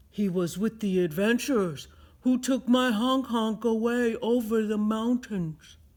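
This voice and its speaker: At a fairly slow pace, a man talks in a put-on character voice with a high pitch. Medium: read story.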